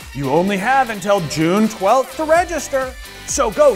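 Over clear music in the background, a man speaks in an upbeat, enthusiastic tone with very wide pitch swings. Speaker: presenter. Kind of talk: infomercial-style promotional ad read. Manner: upbeat, enthusiastic, salesy. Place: studio. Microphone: lapel.

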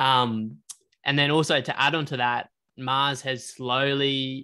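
Speaking with an Australian accent, a man goes at a very slow pace with fairly even intonation. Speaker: podcast co-host. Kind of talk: casual chat.

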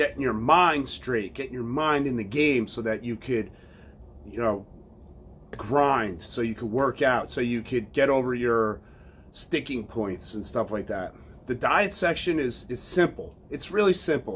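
A man speaking at a fairly slow pace, with light background noise. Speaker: fitness coach. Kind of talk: casual vlog promo talk. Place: home room.

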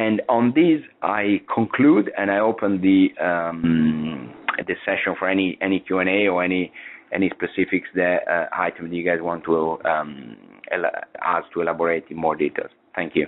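The man's pitch is low, with ordinary variation. He keeps a moderate pace.

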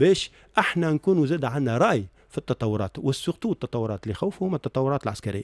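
A man talks with lively intonation. The sound is dry with no echo, over a quiet background. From Tunisia. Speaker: accountant and university professor; university professor. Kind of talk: radio interview. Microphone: studio mic.

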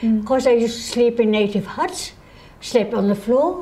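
A high-pitched woman's voice at a moderate pace over noticeable background noise. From Germany. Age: 80s+. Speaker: pilot and adventurer. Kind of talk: interview answer.

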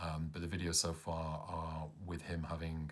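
A man with a British accent and a very deep, low pitch. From England. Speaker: caregiver of parent with Parkinson's. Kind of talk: vlog narration. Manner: hesitant, many fillers. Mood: calm, hopeful, a little tired. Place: home room. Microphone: phone near.

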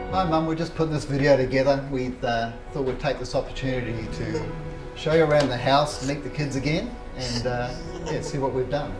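Clear music plays behind a man with a fairly high pitch. He talks at a fairly quick pace with fairly even intonation. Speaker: son in family video message. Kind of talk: home video message. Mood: warm, slightly hesitant. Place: kitchen. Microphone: camera far.

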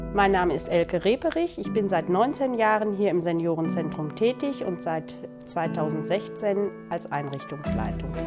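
Clear music plays in the background as a woman talks at a moderate pace. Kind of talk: interview answer. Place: home room. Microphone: lapel.

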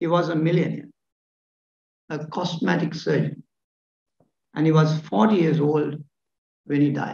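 A man speaks at a fairly slow pace with a fairly high pitch and vocal fry. His pitch variation is ordinary, and the room echo is audible. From Sri Lanka. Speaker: professor of surgery. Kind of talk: lecture. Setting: stage with audience. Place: hall. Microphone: podium.

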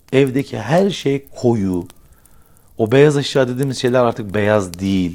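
At a fairly slow pace, a man with a medium-pitched voice sounds animated, his pitch swinging very widely. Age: 40s. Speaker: YouTuber. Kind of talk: casual monologue to camera. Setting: indoors by a fireplace. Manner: conversational, animated.

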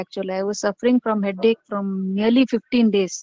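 Recorded dry and close with no echo, a woman has a fairly high pitch and a plain, everyday voice. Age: 30s. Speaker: single parent participant. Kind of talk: casual chat. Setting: video call.

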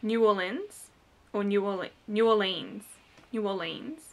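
In an Australian accent, the speaker talks at a very slow pace in a bright, sharp tone. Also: woman. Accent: thick Australian. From Australia, New South Wales. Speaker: beauty vlogger; vlogger. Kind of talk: vlog tag, reading word list. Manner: casual, many fillers. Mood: relaxed, lightly amused. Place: home room. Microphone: webcam.

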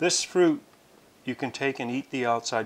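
Speech comes at a moderate pace. The speaker is a man. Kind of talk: tutorial.

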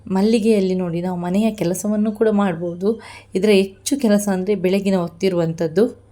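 The woman's tone is dark and mellow. Her intonation remains fairly even. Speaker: jasmine grower and vlogger. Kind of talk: tutorial vlog.

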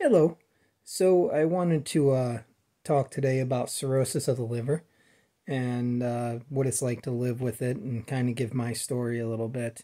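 Against a quiet background, a man with a medium pitch and a dark, mellow tone speaks at a moderate pace with ordinary pitch variation. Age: 40s. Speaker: vlogger sharing personal illness story. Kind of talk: personal testimony monologue. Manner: halting, many fillers. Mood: calm, earnest. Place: home room. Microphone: phone near.

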